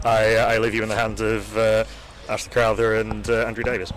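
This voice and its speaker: Over noticeable background noise, a man with a slight Yorkshire accent talks at a fairly quick pace and medium pitch in a flat monotone. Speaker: cricket commentator. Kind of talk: live commentary.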